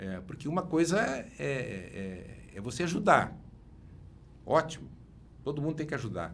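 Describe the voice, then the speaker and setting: Amid audible room echo, a man with vocal fry and a fairly high pitch makes very wide pitch swings, leaving long, frequent pauses. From Rio Grande do Sul, Missões region. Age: 60s. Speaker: engineer and former city councillor. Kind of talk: interview. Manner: halting, many repetitions and fillers.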